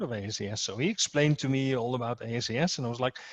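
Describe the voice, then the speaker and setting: In a Dutch accent, a man speaks with fairly even intonation. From Netherlands. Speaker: security association president, guest speaker. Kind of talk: speech to an association meeting. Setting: video call. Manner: halting, many repetitions and fillers.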